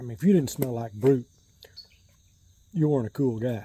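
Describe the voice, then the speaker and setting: In a relaxed tone with an American accent, the voice comes through noticeable background noise. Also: man. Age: 60s. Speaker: shaving gear YouTuber. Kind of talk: casual chat. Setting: outdoors on a porch.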